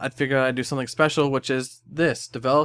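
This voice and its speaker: A man mumbles with fairly even intonation in a very clean recording with a silent background and a dry, close sound with no echo. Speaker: anime music video editor. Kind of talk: casual talk to camera. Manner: mumbling, stuttering.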